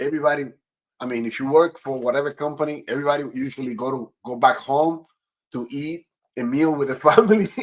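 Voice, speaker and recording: In a Spanish accent, a man talks at a very fast pace. His pitch is fairly high with ordinary variation. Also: big swings in loudness. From Dominican Republic. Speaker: podcast host. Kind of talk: interview.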